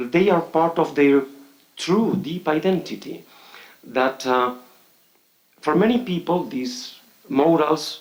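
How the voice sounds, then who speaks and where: There is audible room echo as a man with a fairly high pitch speaks at a very slow pace. He takes long, frequent pauses. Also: ordinary pitch variation. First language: Spanish. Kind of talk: conference speech. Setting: conference hall with audience. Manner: halting, many fillers.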